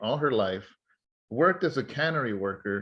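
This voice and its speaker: A man with an American accent and a normal speaking voice talks at a moderate pace with lively intonation. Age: 40s. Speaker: pastor and podcast host. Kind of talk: conversational interview.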